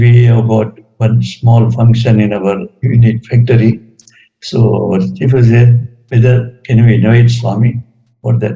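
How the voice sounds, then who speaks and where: A man speaks at a very slow pace, his medium-pitched voice somewhat breathy. His tone is dark and mellow, his intonation monotone and flat. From Gujarat, India. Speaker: retired engineer, spiritual devotee. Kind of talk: talk sharing personal spiritual experiences.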